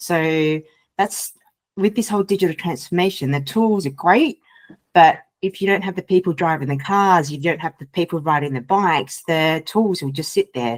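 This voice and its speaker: In a slight Australian accent, a woman talks at a moderate pace with ordinary pitch variation. Her fairly low voice has a dry, close sound with no echo. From Australia, Sydney. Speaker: data and AI culture consultant. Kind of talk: podcast interview.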